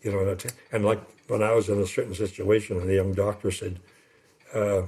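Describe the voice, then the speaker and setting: This man has a fairly low pitch and a dark, mellow tone. His voice is somewhat breathy. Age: old. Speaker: retired pastor. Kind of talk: interview. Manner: fast; rambling, hesitant.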